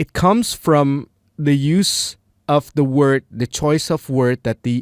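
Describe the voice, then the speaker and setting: In an Indonesian accent, a man with a fairly high voice speaks very slowly, the sound dry and close with no echo. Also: very clean recording, silent background. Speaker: English learner vlogger. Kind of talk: casual monologue. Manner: halting, many fillers.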